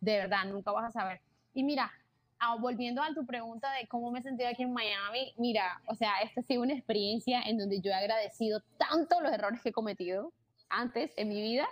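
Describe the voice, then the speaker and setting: A woman with an unremarkable speaking voice talks at a fairly quick pace. Her pitch is fairly high, with ordinary variation. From Colombia, Barranquilla (Caribbean coast). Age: 20s. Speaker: content creator and entrepreneur. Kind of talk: casual interview chat.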